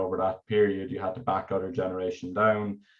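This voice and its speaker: With an Irish accent, a man speaks at a fairly quick pace. His pitch is fairly low and his intonation fairly even. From Ireland. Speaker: energy researcher. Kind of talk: technical presentation. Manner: halting, many fillers and repetitions.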